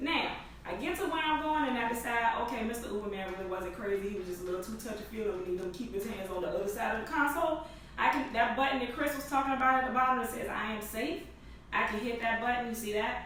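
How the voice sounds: A woman's fairly high voice at a fast pace, with audible room echo. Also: ordinary pitch variation.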